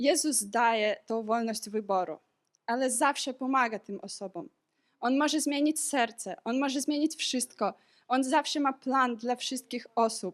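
In a very clean recording with a silent background, a woman speaks fairly slowly at a high pitch with ordinary pitch variation. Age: 20s. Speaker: medical student sharing a church testimony. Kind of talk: testimony.

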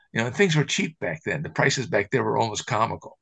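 Talking at a very fast pace, a man with an American accent has a bright, sharp tone and vocal fry. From US Midwest. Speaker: camera historian. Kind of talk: casual chat. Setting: video call.

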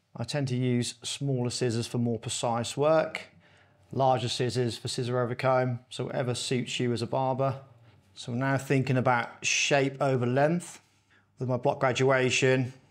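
A man speaks at a moderate pace in a flat monotone against a quiet background. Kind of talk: tutorial. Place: shop.

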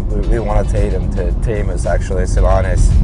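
Loud music sits in the background as a man speaks at a moderate pace, the sound dry with no echo. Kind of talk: interview answer. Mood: relaxed, reflective. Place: car. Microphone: lapel.

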